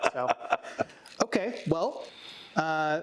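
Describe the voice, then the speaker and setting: Noticeable background noise runs under a man speaking at a fairly high pitch. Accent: American. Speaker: metal band musician and podcast co-host. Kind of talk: casual chat.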